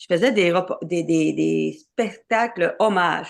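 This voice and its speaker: On a very clean recording with a silent background, a woman speaks very slowly at a medium pitch. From Quebec, Côte-Nord (Havre-Saint-Pierre). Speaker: singer-songwriter and tour producer. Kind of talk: interview. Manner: halting, many hesitations and repetitions.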